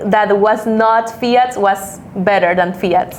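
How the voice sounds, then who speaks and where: Over noticeable background noise, a woman with a Spanish accent speaks at a very slow pace with a fairly high pitch and fairly even intonation. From Venezuela. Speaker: crypto community lead. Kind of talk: interview. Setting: studio.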